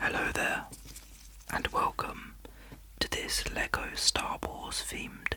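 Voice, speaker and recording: Noticeable background noise surrounds a man whispering at a fairly slow pace. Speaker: ASMR content creator. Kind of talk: ASMR whisper video for sleep and relaxation. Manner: soft-spoken, whispering.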